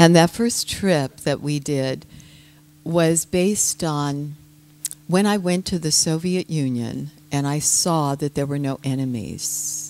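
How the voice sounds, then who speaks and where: With an American accent, a woman speaks at a very slow pace in a very deep, low pitch with ordinary pitch variation. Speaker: yoga teacher and citizen diplomat. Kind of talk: talk to an audience.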